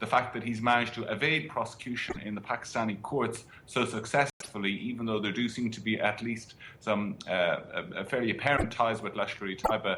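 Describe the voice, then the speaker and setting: A man speaks at a medium pitch and a moderate pace. His intonation is fairly even, and there is noticeable background noise. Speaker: foreign correspondent. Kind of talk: interview answer.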